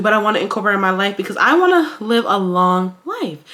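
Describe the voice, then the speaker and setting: A woman speaks at a fairly quick pace in an animated tone, with noticeable background noise behind her. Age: 20s. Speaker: lifestyle vlogger. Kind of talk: casual vlog monologue. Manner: fast.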